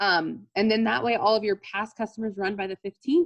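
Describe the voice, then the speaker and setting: The pace is fairly quick. A woman is the one talking. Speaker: network marketing team leader. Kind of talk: team training call. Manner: fast; animated.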